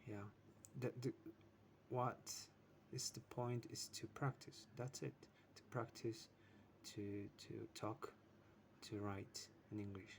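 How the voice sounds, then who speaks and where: The speaker has a non-native accent and a somewhat breathy voice with fairly even intonation. The pace is fairly slow, with long, frequent pauses. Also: man, medium pitch for a man. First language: not English. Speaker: English learner vlogger. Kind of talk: casual self-practice monologue. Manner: halting. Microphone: poor sound quality.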